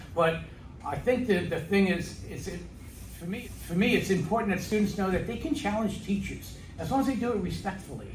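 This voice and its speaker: Audible room echo surrounds the speech, which moves at a fairly quick pace with ordinary pitch variation. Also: man, high pitch for a man. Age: 60s. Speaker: middle school math teacher. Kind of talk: interview.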